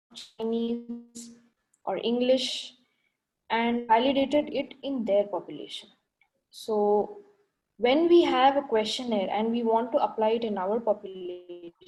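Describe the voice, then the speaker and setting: A woman's fairly high, dark and mellow voice with a Telugu accent, at a fairly slow pace with ordinary pitch variation. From India (Bangalore). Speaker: ophthalmic plastic surgeon presenting. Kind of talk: lecture.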